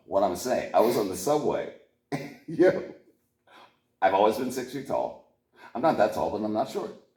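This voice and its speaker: Using an animated tone and an American accent, a man speaks at a moderate pace with long, frequent pauses. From Pittsburgh, US. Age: 50s. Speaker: musician. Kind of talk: casual chat.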